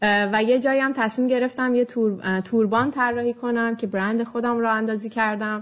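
Her voice is a plain, everyday voice, fairly high for a woman, moving at a fairly quick pace with fairly even intonation. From Iran, Shiraz. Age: 20s. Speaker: blogger and entrepreneur. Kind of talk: interview.

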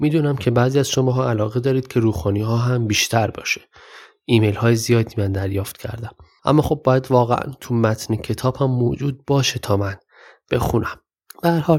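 At a fairly quick pace, a man talks with a medium pitch, ordinary pitch variation and a somewhat breathy quality. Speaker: podcast host and storyteller. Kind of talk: storytelling narration.

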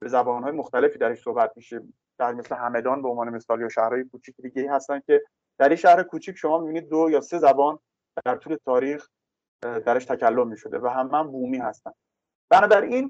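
A man's medium-pitched voice at a very fast pace, with ordinary pitch variation, big swings in loudness, and a dry, close sound with no echo. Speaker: political science professor. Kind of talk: interview.

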